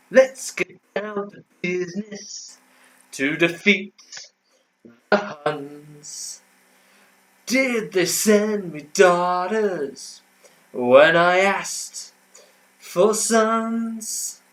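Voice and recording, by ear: Using a put-on character voice, a man speaks very slowly in a high pitch, with long, frequent pauses.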